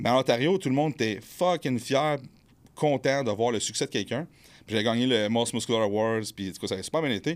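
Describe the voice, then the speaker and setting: In a plain, everyday voice, a man talks fairly quickly at a medium pitch with ordinary pitch variation, on a very clean recording with a silent background. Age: 30s. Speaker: bodybuilder and fitness coach. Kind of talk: casual chat. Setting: studio.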